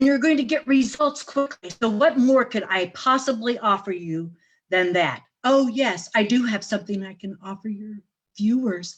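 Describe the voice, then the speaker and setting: A woman with a fairly high pitch talks at a moderate pace in an animated, somewhat breathy voice with lively intonation. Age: 70s. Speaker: facial exercise coach. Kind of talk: interview.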